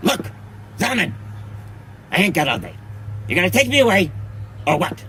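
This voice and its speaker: A man's cartoonish character voice, fairly high-pitched, broken by long, frequent pauses over clear background noise. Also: fairly quick pace. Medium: puppet.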